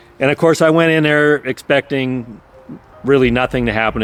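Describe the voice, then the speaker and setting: With music behind him, a man talks at a fairly quick pace. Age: 60s. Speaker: cancer survivor sharing his story. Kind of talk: personal testimony. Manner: casual, with frequent repetitions and fillers.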